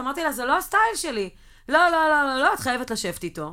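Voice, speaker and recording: In a raised, projected voice with a bright, sharp tone, the speaker races along at a very fast pace through very wide pitch swings. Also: woman. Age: 40s. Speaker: podcast co-host. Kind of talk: casual chat.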